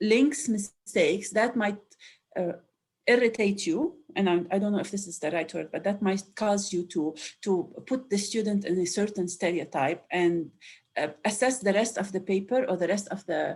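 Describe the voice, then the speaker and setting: A woman speaks at a moderate pace with an Arabic accent. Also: medium pitch for a woman, ordinary pitch variation. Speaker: educational developer. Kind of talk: webinar discussion.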